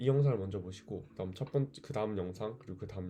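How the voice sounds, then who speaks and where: A man with a fairly low pitch talks in a dark, mellow, calm tone with lively intonation. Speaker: vlogger. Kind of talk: casual monologue vlog. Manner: hesitant, thinking aloud.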